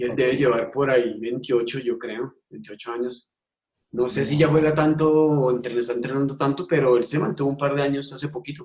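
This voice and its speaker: At a fairly quick pace, a man talks in an ordinary speaking voice with fairly even intonation. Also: medium pitch for a man. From Colombia. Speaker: ultimate frisbee coach and PE teacher. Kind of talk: interview.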